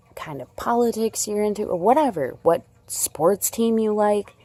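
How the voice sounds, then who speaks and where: A woman speaks with an American accent at a fairly slow pace. Her tone is dark and mellow. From Chicago area. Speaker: crochet vlogger. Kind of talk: casual chat. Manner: animated.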